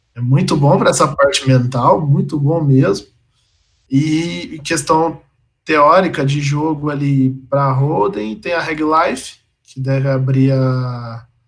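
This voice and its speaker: At a very slow pace, a man with a fairly high pitch sounds somewhat breathy, his pitch varying in an ordinary way. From Brazil, Minas Gerais (Campo Belo). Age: 20s. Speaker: professional poker player. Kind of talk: casual interview.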